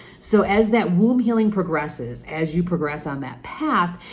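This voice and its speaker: Noticeable background noise and audible room echo surround a woman with a very deep, low pitch who talks at a moderate pace with lively intonation. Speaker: spiritual coach podcast host. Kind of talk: solo podcast monologue.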